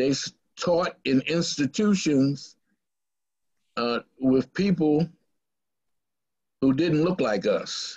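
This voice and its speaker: His pitch is fairly high for a man. He talks at a very slow pace. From Baltimore, Maryland, US. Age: 70s. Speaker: pastor. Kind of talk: community talk. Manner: halting, many fillers.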